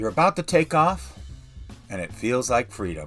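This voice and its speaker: With music in the background, a man talks at a moderate pace using very wide pitch swings. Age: 60s. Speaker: retiree living in an RV. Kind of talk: narrated intro.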